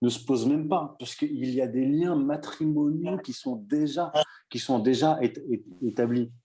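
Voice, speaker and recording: Here a man talks in a dark, mellow tone at a fairly high pitch. His pitch variation is ordinary, and his pace is fairly slow. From Morocco. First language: Berber (Tamazight) (speaking French). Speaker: writer. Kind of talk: debate. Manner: halting, many repetitions.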